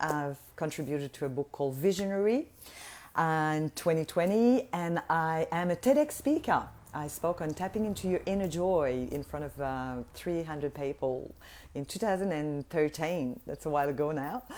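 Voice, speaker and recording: At a moderate pace, a woman with a slight French Canadian accent speaks with lively intonation at a very deep, low pitch. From Quebec, Montreal. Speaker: voice healer and business mentor. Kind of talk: live online workshop talk. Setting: livestream. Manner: animated.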